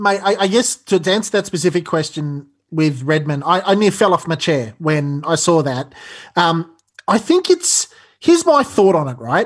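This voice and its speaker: The speaker talks at a moderate pace. The voice comes with an Australian accent. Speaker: football podcast co-host. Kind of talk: casual chat.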